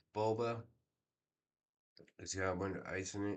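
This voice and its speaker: Speaking at a moderate pace with monotone, flat intonation, a man with a fairly low pitch is heard amid audible room echo. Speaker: YouTuber commenting on court streams. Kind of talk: casual live commentary.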